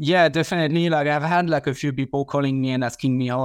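A man with a French accent speaks at a fairly quick pace. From France. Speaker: mowing franchisee. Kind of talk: casual interview.

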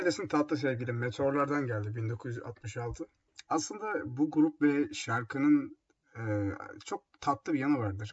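This man's voice is somewhat breathy. He speaks at a fairly slow pace. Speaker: radio host. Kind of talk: music radio show presenting. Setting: home. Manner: casual, halting with fillers. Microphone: laptop built-in mic, echoey.

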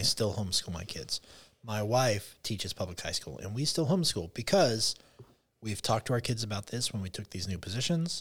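A man at a medium pitch, somewhat breathy, with lively intonation and a fairly quick pace, on a very clean recording with a silent background. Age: 40s. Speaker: public school teacher. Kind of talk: casual chat.

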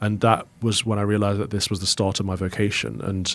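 This speaker talks at a very fast pace in an East Midlands accent. The intonation is fairly even. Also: man. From England, Mansfield, Nottinghamshire. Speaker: Anglican priest. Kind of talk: interview conversation.

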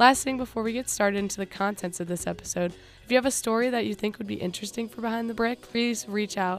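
Speaking very fast with a fairly high pitch, a woman with an American accent keeps her intonation fairly even. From US Midwest, Cincinnati, Ohio. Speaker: student podcast host. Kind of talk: casual chat; scripted narration.

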